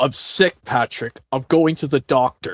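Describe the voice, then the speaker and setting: Someone speaks in a put-on character voice at a low-to-middle pitch. The pace is moderate. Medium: game stream.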